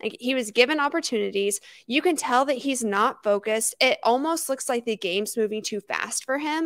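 Her pitch high and varying in an ordinary way, a woman talks fairly quickly in a dry recording with no echo and a quiet background. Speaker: sports podcast co-host. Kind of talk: casual chat. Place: home room. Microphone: handheld.

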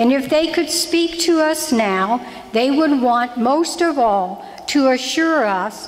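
Speaking at a very slow pace, a woman lets her pitch swing very widely. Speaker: lay reader giving parish announcements. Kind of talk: church announcements and prayer intro. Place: church. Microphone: podium.

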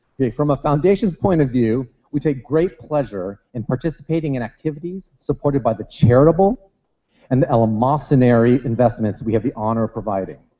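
The pace is very fast from this man. The background is quiet. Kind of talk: keynote speech. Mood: light, humorous. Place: hall. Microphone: podium.

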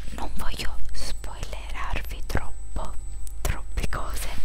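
A soft-spoken woman at a very slow pace over loud background noise. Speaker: video creator. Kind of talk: casual vlog chat. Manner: soft-spoken intimate ASMR talk. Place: home room. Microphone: headset.

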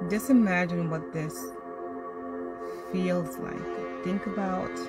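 A woman at a very slow pace over clear background music, in a dry sound with no echo. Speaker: guided meditation host. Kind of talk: guided meditation. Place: car. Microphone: phone near.

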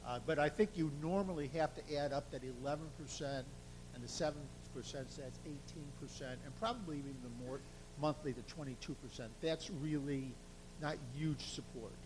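Some audible room echo surrounds a man speaking at a moderate pace and fairly high pitch, somewhat breathy, with ordinary pitch variation and big swings in loudness. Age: 60s. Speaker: survey consultant presenting results. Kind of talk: presentation to city council.

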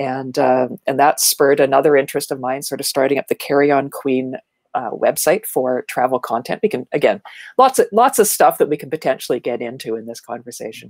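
In a Canadian accent, a woman speaks at a very deep, low pitch and a fairly quick pace, with big swings in loudness and a dry sound with no echo. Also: ordinary pitch variation, quiet background. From Ontario, Canada (small town north of Toronto). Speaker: marketing speaker and educator; speaker, educator. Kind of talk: casual interview chat. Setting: video call. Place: home room. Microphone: earbuds.

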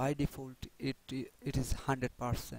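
A man speaks with a non-native accent. His intonation is monotone and flat. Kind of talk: software tutorial narration.

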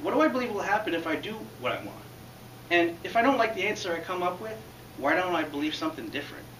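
Heard with audible room echo and light background noise, a man speaks at a very fast pace. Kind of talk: prepared public speech. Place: classroom. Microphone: camera far.

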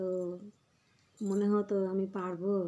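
Her tone is dark and mellow. The woman speaks in a monotone, flat intonation. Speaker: vlogger and homemaker. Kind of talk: casual vlog talk to viewers.

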